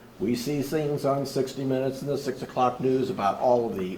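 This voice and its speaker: A man speaks at medium pitch and a moderate pace. Audible room echo can be heard. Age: 70s. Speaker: audience member. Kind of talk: public Q&A comment.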